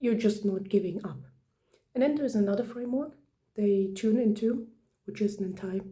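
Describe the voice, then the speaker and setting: A somewhat breathy woman's whisper at a moderate pace. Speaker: video essayist. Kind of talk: casual commentary. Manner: whispering; hesitant, many fillers.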